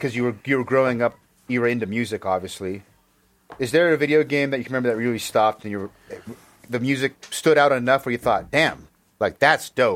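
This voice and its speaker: Someone with an American accent talks at a very fast pace with ordinary pitch variation. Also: man, medium pitch for a man. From United States. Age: 30s. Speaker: podcast host. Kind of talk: casual interview chat. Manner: animated.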